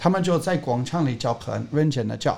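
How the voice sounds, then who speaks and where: With an English accent, a man speaks in a somewhat breathy voice with ordinary pitch variation. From England. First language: English (speaking Chinese). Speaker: skateboarding coach. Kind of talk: casual interview.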